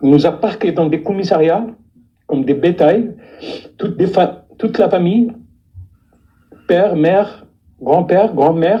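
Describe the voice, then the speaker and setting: The delivery moves at a fairly slow pace. Long pauses come often. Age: 60s. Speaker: deportation witness. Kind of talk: testimony. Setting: live stream. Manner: halting, many repetitions.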